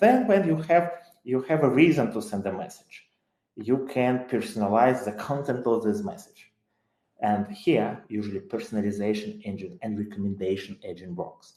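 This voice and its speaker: Medium-pitched male voice with a dark, mellow tone, lively intonation, big swings in loudness and a moderate pace. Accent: Ukrainian. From Ukraine. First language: Ukrainian. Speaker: tech company CEO. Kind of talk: webinar talk. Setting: live online webinar. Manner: hesitant, with many fillers.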